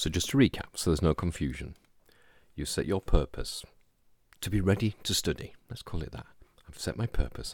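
With vocal fry and lively intonation, a man speaks in a gentle tone at a very deep, low pitch. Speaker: podcast host and hypnosis practitioner. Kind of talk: guided meditation; scripted-style solo podcast talk. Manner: slow, calm, soothing, unhurried pacing; gentle, hypnotic, soft-spoken.

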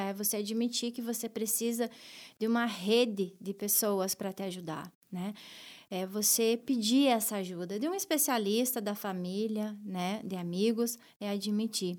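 Recorded very cleanly against a silent background, a woman with a fairly high pitch speaks at a fairly slow pace with ordinary pitch variation. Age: 30s. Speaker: bank branch manager. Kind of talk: interview testimony. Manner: hesitant, many fillers.

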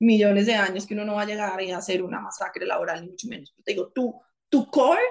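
A woman talks at a moderate pace with ordinary pitch variation. Hers is an unremarkable speaking voice at a fairly high pitch. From Colombia, Bogotá. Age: 40s. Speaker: former government chief of staff, lawyer. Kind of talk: interview conversation.

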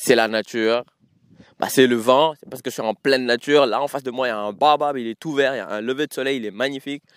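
A man at a very fast pace and medium pitch, animated in tone, with big swings in loudness, in a dry, close sound with no echo and a very clean recording with a silent background. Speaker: podcast host. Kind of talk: casual solo monologue. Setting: outdoors in nature. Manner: animated, code-switching French and English.

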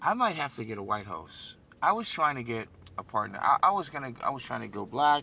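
Speaking at a fairly quick pace with an animated tone, this voice shows big swings in loudness, very wide pitch swings and vocal fry. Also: man, medium pitch for a man. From New York City, Brooklyn. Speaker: political podcast host. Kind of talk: political commentary monologue.

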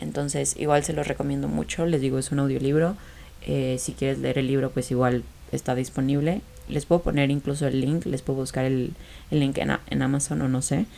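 This woman's voice is very deep and low in pitch, and she moves at a fairly quick pace. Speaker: podcast host. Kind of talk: casual chat. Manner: animated.

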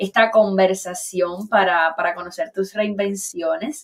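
This woman has a normal speaking voice. Her pitch is medium, with ordinary variation. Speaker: online talk show host. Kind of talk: casual interview conversation.

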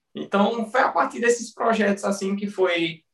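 A man's speech goes at a moderate speed. Music plays behind him. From Pernambuco interior, Brazil. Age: 20s. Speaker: personal trainer. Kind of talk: casual interview chat.

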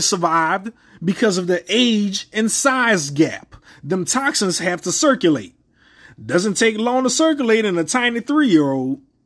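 Against a quiet background, a man speaks at a moderate pace with a high pitch. His tone is animated and his intonation lively. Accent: New Orleans. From US South. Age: 30s. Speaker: podcast host. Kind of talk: casual commentary rant. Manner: crude and profane.

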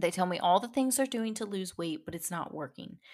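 A woman with very wide pitch swings, in a very clean recording with a silent background. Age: 30s. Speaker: fitness podcast host and health coach. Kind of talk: solo podcast talk on fitness mindset. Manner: casual and conversational.

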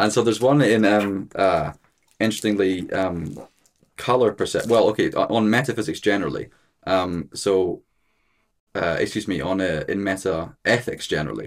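In a Scottish accent, a man speaks with a fairly low pitch. He keeps a moderate pace and ordinary pitch variation. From Scotland, Edinburgh. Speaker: philosophy student. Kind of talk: casual discussion. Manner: halting, many fillers.

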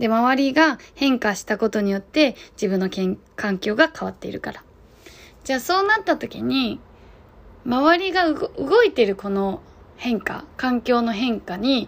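A woman's high voice at a fairly slow pace, with very wide swings in pitch. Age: 30s. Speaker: podcast host, guesthouse owner. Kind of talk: solo casual monologue. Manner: hesitant, many fillers.

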